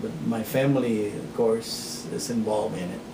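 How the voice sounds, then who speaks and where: A man with an American accent speaks amid noticeable background noise and audible room echo. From Texas. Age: 60s. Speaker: farmer. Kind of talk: interview. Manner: halting.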